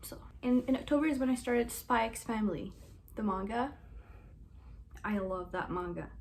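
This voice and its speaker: A woman talks at a fairly high pitch, somewhat breathy, at a fairly quick pace. Her pitch varies ordinarily, and room echo is audible. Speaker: booktuber. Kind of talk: casual book review vlog. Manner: fast; animated.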